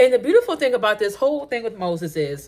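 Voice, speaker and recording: A woman speaks loudly in an animated tone at a fairly high pitch, her pitch swinging very widely. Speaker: faith vlogger. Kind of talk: casual faith talk to camera. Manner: loud, blunt.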